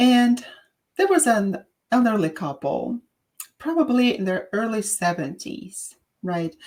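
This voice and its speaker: Very slow speech in a Russian accent with lively intonation. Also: woman. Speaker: podcast host, doctor. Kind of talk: casual chat.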